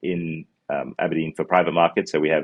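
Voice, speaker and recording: A man with a New Zealand accent speaks at a fairly quick pace. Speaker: fund manager. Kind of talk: interview answers. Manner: halting, many fillers.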